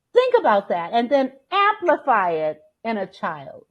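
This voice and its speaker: A woman speaks loudly. Her pitch is high. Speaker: life coach and motivational speaker. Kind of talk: interview. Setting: podcast.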